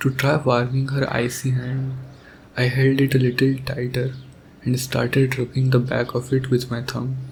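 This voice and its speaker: A man speaks at medium pitch and a moderate pace, in a tired tone with monotone, flat intonation. Noticeable background noise sits behind him. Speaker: ASMR roleplay voice performer. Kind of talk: ASMR boyfriend roleplay monologue. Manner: soft, tender, romantic; tired, sleepy.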